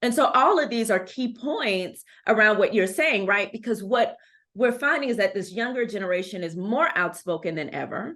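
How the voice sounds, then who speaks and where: In an American accent, a woman with an ordinary speaking voice talks at a moderate pace, her pitch fairly high and her intonation lively. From Texas, Houston. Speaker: anti-racist educator and consultant. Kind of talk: podcast interview.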